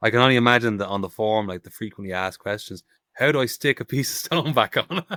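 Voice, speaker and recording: A man at medium pitch, very fast, in a bright, sharp tone with lively intonation and big swings in loudness, in a dry, close sound with no echo. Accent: Irish. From Ireland. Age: 30s. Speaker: stone carver. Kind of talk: casual chat.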